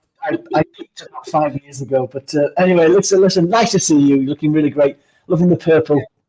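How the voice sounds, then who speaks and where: With big swings in loudness, a man speaks very fast at a fairly high pitch. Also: ordinary pitch variation, dry, close sound with no echo. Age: 50s. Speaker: keynote speaker. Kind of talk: interview. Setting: live stream video.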